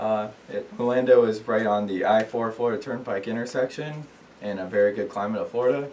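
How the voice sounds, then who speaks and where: Over noticeable background noise, a man speaks at a fairly quick pace. His medium-pitched voice keeps a fairly even intonation. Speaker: student. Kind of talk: class speech. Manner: hesitant, many fillers.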